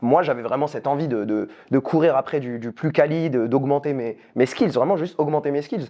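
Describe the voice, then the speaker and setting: In a normal speaking voice, a man talks at a moderate pace and a fairly high pitch with ordinary pitch variation. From France. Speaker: youtuber. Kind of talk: casual chat.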